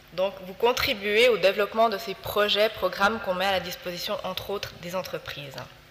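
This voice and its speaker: A woman's medium-pitched voice at a fairly quick pace, with hardly any pauses, fairly even intonation, big swings in loudness and noticeable background noise. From Switzerland, Fribourg. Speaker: health promotion foundation representative. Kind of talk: presentation talk.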